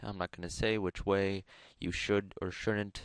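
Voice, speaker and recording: The pace is moderate, and the sound is dry and close with no echo. The background is quiet. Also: man. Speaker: gaming YouTuber. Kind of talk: tutorial.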